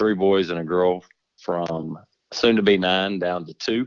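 With a Texan accent, a man speaks at a very slow pace. His pitch is very deep and low, with fairly even intonation. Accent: Texan Southern US. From Texas. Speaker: insurance agent. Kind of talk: casual interview. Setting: phone call.

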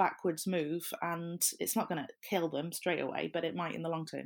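A woman with a Welsh accent on a very clean recording with a silent background. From South Wales. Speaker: social media consultant. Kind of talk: debate.

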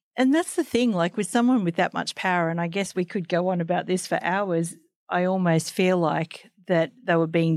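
The speech comes at a moderate pace with an Australian accent. The recording is very clean with a silent background and a dry, close sound with no echo. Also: woman. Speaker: podcast host and magazine editor. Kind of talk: interview.

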